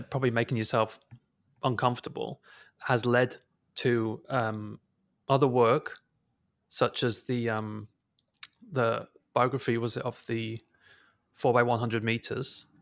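A man at medium pitch talks at a fairly slow pace with long, frequent pauses. The recording is very clean, with a silent background. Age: 30s. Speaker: podcast host. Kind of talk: casual interview. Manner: hesitant, many fillers.

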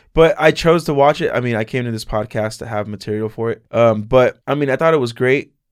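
In a very clean recording with a silent background, a man with an ordinary speaking voice talks at a fairly quick pace and medium pitch, with ordinary pitch variation and hardly any pauses. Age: 20s. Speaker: podcast guest, anime fan. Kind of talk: casual chat.

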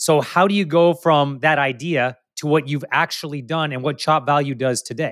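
Here is a man with a normal speaking voice, fairly high in pitch for a man. He keeps a moderate pace and fairly even intonation, with hardly any pauses. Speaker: podcast host. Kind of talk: interview.

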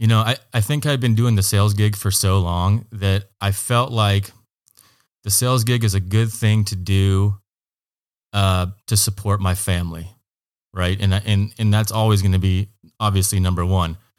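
With an American accent, a man speaks at a moderate pace in a fairly low pitch, with fairly even intonation and very even loudness. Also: very clean recording, silent background. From Oregon, US Pacific Northwest. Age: 30s. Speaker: small business owner. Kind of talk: casual interview. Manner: halting, many fillers and repeats.

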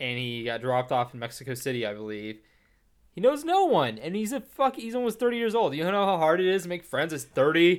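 Speaking at a fairly quick pace with an American accent, a man with a high pitch makes very wide pitch swings on a very clean recording with a silent background. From Texas. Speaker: film podcast co-host. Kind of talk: casual chat.

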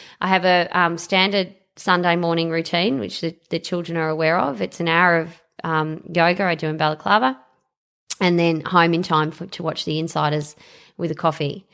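Very clean with a silent background, the recording captures a woman with a fairly low pitch, a bright, sharp tone and an Australian accent talking at a moderate pace. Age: 40s. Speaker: superannuation fund executive and local councillor. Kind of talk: casual interview.

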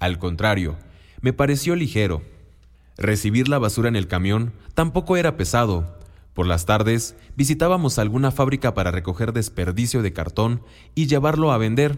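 At a moderate pace, the speech shows very wide pitch swings while its loudness stays very even. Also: man, medium pitch for a man. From Mexico, Oaxaca. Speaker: businessman. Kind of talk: scripted narration.

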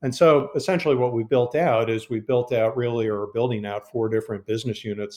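Over a quiet background, a man with an unremarkable speaking voice talks at a fairly quick pace and medium pitch. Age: 50s. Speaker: healthcare company executive. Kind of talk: casual interview.

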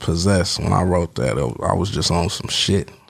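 A man at a fairly quick pace with ordinary pitch variation, amid noticeable background noise. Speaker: rapper, musician. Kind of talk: casual interview chat.

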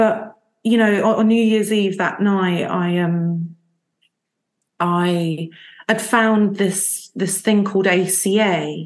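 With a London accent, a woman speaks very slowly at a medium pitch and fairly even intonation against a quiet background. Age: 30s. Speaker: recovering alcoholic sharing story. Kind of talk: testimony.

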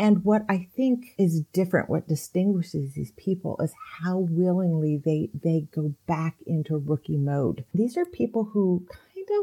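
A woman speaks fairly slowly in a fairly low, somewhat breathy voice with a dark, mellow tone. Her intonation is lively. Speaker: author. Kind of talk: interview.

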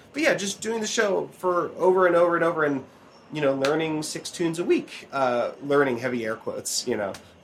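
With noticeable background noise behind him, a man in a high pitch speaks at a fairly quick pace with lively intonation. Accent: American. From Oregon. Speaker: banjo player and podcast host. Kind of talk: casual chat. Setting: outdoors, later indoors.

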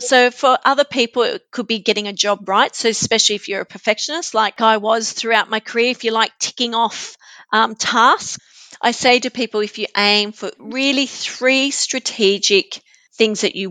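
Someone with an Australian accent speaks at a moderate pace, showing ordinary pitch variation and a bright, sharp tone. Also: woman, dry, close sound with no echo. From Australia, New South Wales mid north coast. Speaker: neuroscience coach and author. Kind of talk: interview conversation.

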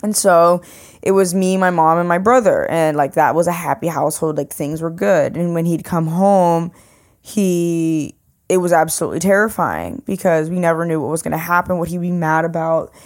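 On a very clean recording with a silent background, a woman with an ordinary speaking voice talks at a moderate pace, fairly low in pitch, with fairly even intonation. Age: 20s. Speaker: podcast guest. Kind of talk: casual chat.

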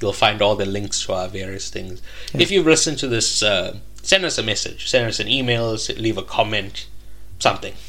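Over noticeable background noise, a man delivers his words at a fairly quick pace. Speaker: podcast host. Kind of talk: casual chat.

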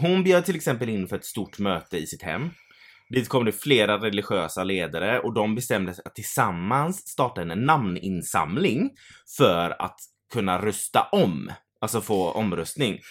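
Over a very clean recording with a silent background, a man with a fairly low voice talks at a moderate pace. His pitch swings very widely and his loudness varies a lot. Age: 30s. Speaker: podcast co-host. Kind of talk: casual chat. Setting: home studio.

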